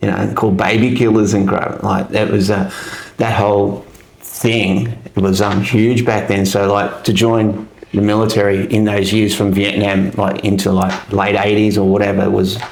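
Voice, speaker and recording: A man with an Australian accent speaks at a fairly low pitch and a moderate pace, in a monotone, flat intonation with very even loudness. There is noticeable background noise and audible room echo. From Australia, Melbourne. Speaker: army veteran. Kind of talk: casual interview chat. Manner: hesitant, many fillers.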